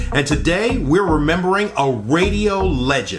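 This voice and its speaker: With noticeable background noise behind him, a man in an upbeat tone talks at a fairly slow pace, his fairly high pitch making very wide swings. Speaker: radio channel host. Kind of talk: casual talk to camera.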